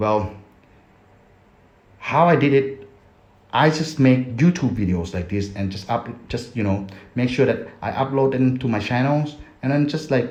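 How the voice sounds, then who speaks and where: Amid audible room echo, a man with a non-native accent talks at a moderate pace in a medium pitch, somewhat breathy and with long, frequent pauses. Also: ordinary pitch variation. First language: Thai. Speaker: affiliate marketer, YouTuber. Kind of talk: casual vlog tutorial. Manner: halting.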